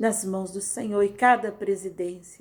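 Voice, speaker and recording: At a fairly slow pace and a medium pitch, a woman speaks on a very clean recording with a silent background. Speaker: pastor. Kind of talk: casual sign-off; prayer. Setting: recorded audio devotional.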